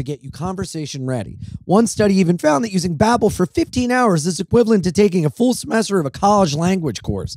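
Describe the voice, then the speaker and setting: With very wide pitch swings and a high pitch, a man speaks at a fairly quick pace in an American accent against a quiet background. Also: dry sound with no echo. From Delaware, US. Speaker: touring comedian and podcast host; touring comedian, podcast host. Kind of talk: casual chat. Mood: jokey, irreverent. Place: home room. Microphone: handheld.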